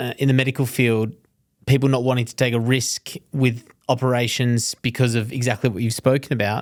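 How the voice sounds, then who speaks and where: A man with an unremarkable speaking voice talks at a moderate pace at a medium pitch with fairly even intonation. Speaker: podcast host. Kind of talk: podcast intro and interview questions.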